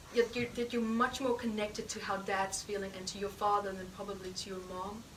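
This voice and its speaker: Noticeable background noise surrounds a woman speaking at a fairly quick pace. Her medium-pitched voice has a monotone, flat intonation. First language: not English. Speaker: healing practitioner and teacher. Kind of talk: live healing demonstration. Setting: stage with audience.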